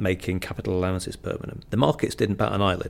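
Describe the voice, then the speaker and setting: With vocal fry, a man talks in a Mancunian accent. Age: 50s. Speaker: economist. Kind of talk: in-depth interview. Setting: office.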